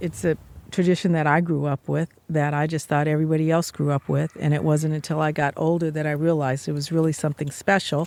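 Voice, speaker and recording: In an American accent, a woman talks at a very fast pace in a very deep, low pitch with monotone, flat intonation, the sound dry and close with no echo on a very clean recording with a silent background. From Oakland, California. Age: 60s. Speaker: traditional healing practitioner and author. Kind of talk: interview. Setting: outdoors.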